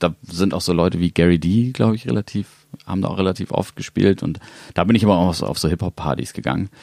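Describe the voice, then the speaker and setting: A man's very deep, low voice moves at a fairly quick pace with ordinary pitch variation. The sound is dry and close, with no echo. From Hamburg, northern Germany. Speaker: electronic music producer and label owner. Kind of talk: casual interview. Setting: studio.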